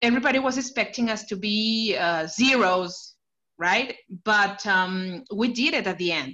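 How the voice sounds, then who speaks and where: The voice has a bright, sharp tone and a Spanish accent. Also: woman. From Mexico, Chihuahua. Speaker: Dolphins fan. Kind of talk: casual interview. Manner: halting.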